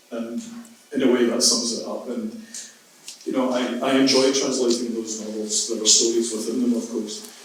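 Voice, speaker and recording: A man speaks with monotone, flat intonation. Noticeable background noise and audible room echo surround him. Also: medium pitch for a man, moderate pace. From Scotland, moved from Derry as a child. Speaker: writer and translator. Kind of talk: panel discussion.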